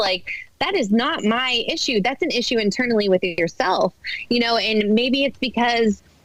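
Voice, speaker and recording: A woman with an American accent and a fairly high pitch, animated in tone, at a moderate pace over noticeable background noise. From Boston, US Northeast. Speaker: mom influencer. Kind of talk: podcast interview.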